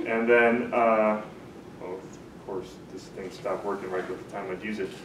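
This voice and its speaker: A man with an American accent at a moderate pace, fairly low-pitched and monotone, flat in intonation, with audible room echo and noticeable background noise. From US Midwest, Marinette, Wisconsin. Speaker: tech entrepreneur, user experience designer. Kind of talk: lecture. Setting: talk to a small live audience. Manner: soft-spoken; casual, hesitant with many fillers.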